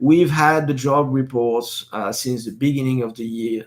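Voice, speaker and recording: A man with a French accent speaks at a medium pitch with fairly even intonation. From northeastern France. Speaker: live stream host. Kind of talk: casual live stream commentary. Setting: live stream. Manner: hesitant, many fillers and repetitions.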